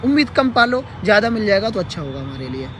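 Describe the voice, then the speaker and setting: There is crowd noise in the background. Through it, a man speaks at a moderate pace. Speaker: teacher-candidate group leader, live streamer. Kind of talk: live stream update. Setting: livestream. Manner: hesitant with fillers.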